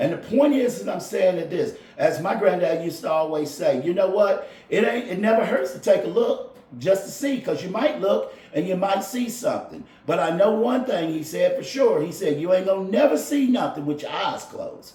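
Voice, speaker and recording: A man keeps to a moderate pace as noticeable background noise carries on around him. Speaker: golf instructor and podcaster. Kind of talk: casual monologue podcast. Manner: loud.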